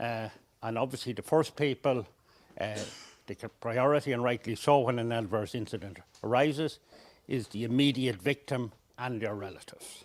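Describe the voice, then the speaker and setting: Speaking at a moderate pace with long, frequent pauses, a man with an Irish accent has a medium pitch and ordinary pitch variation. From Ireland. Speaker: session chair at health workforce workshop. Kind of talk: conference session introduction. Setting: conference livestream. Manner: hesitant, frequent fillers.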